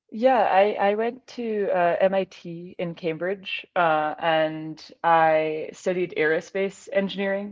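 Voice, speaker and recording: Speaking very slowly with hardly any pauses, a woman with an American accent talks at a medium pitch with ordinary pitch variation. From Scotland, Glasgow. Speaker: aerospace engineer and ultrarunner. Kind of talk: casual interview.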